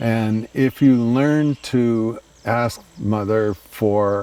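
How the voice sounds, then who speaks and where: The voice belongs to a man and is medium in pitch. Its variation is ordinary. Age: 80s+. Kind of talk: interview answer. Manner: hesitant, reflective.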